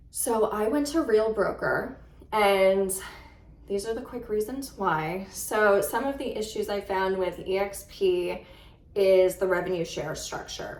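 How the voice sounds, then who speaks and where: A woman talks at a very slow pace, her pitch medium with ordinary variation. Audible room echo surrounds the voice. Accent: New York. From New York. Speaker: real estate agent. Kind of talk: casual vlog talk to camera.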